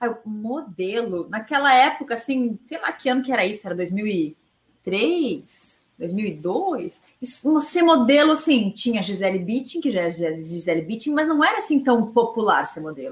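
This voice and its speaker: With a southern Brazilian accent, a woman talks at a fairly slow pace with hardly any pauses and very wide pitch swings. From southern Brazil, Araranguá, Santa Catarina. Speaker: runner and former model. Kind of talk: interview.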